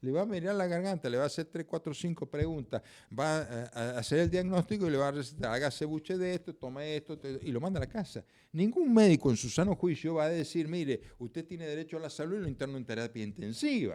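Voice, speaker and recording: Talking at a very fast pace, a man with a fairly high pitch has a dark, mellow tone and lively intonation. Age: 70s. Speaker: judge and prosecutor. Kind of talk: interview conversation.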